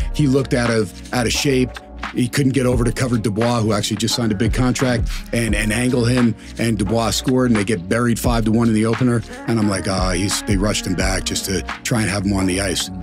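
The speech races at a very fast pace over clear music in the background. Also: man, fairly even intonation. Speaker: sportscaster / sports broadcaster. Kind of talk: casual storytelling in a podcast interview. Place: studio. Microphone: studio mic.

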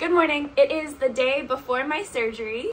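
A woman speaks in a raised, projected voice over light background noise. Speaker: vlogger. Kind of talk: casual vlog chat. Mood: excited, nervous before surgery.

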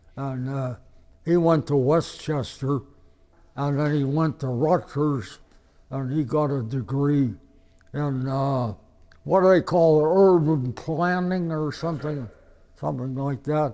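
Pausing long and often, a man with an American accent speaks at a fairly slow pace in a fairly high pitch with a dark, mellow tone. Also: ordinary pitch variation. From Ohio. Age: 80s+. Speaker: war veteran. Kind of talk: interview. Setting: hospital. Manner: halting.

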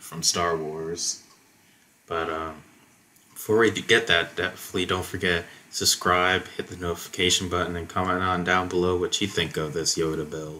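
At a moderate pace, a man with a very deep, low pitch speaks in a bright, sharp tone. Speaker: tabletop game content creator. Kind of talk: casual tutorial commentary. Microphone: headset.

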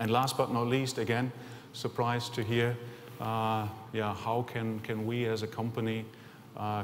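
A man with a German accent at a medium pitch, monotone and flat, over light background noise. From Germany. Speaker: company executive. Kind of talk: conference presentation. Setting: stage with audience. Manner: halting. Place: hall. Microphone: podium.

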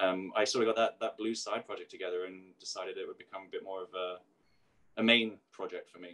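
In an American accent, the speech races at a very fast pace with big swings in loudness. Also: man. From South London, England; London. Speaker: singer-songwriter and author; interviewee. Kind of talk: interview. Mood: reflective, candid. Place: kitchen. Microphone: video call.

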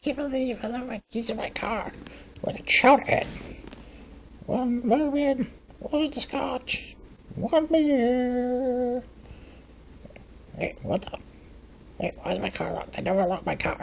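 A put-on character voice, female-sounding and high-pitched, at a moderate pace with long, frequent pauses over clear background noise. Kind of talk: comic overacting. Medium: comedy sketch. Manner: exasperated, comic overacting.

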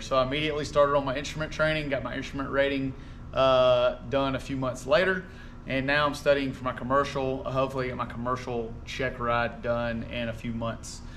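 With light background noise behind him, a man speaks at a fairly quick pace and with fairly even intonation. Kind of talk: casual vlog chat. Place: garage. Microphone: camera far.

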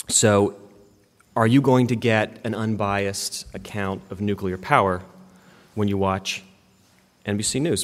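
Speaking with an American accent at a fairly slow pace, the voice keeps fairly even intonation and takes long, frequent pauses. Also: man, fairly low pitch for a man. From West Virginia. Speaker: media company co-founder and workshop presenter; presenter. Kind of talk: workshop talk. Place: hall.

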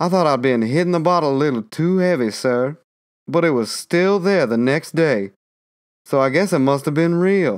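Putting on a drawling character voice, a man speaks at a moderate pace with a fairly high pitch and ordinary pitch variation, in a very clean recording with a silent background. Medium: read story. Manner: drawling, folksy, deferential.

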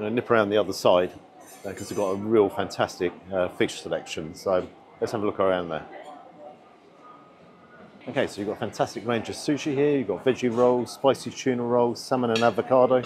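A man speaks at a very fast pace with ordinary pitch variation over noticeable background noise. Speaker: food reviewer. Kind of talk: casual vlog commentary. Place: hall. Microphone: lapel.

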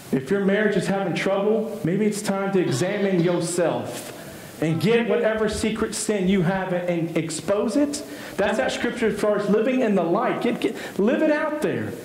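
A high-pitched man with an American accent at a moderate pace, with ordinary pitch variation, hardly any pauses and audible room echo. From US East Texas. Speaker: pastor. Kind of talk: sermon. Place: church.

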